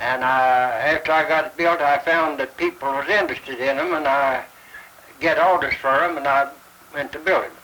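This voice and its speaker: A man with a Southern Appalachian accent talks at a moderate pace, his pitch fairly high and his intonation fairly even. Background noise is noticeable. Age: 80s+. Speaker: spinning wheel craftsman. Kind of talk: interview testimony.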